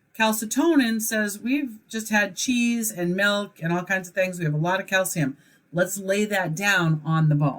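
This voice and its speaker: Lively intonation runs through a woman's speech. There is a somewhat breathy quality to her voice. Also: medium pitch for a woman, fairly slow pace. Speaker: college instructor. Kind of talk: recorded lecture. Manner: hesitant fillers.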